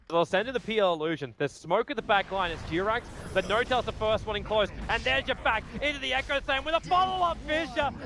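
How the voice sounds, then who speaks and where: Animated and very fast, a man with an Australian accent speaks in a raised, projected voice, high in pitch with very wide swings, over noticeable background noise. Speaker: esports commentator. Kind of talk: live commentary. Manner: fast, animated.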